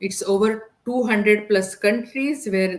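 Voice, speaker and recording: Speaking fairly slowly, a woman talks with a non-native accent. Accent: foreign. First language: Indian language (English is third). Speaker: digital business entrepreneur. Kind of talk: podcast interview.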